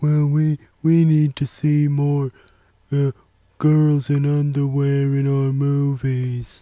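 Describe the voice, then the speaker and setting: In a put-on character voice, a man speaks very slowly at a fairly high pitch, his intonation monotone and flat. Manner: mocking.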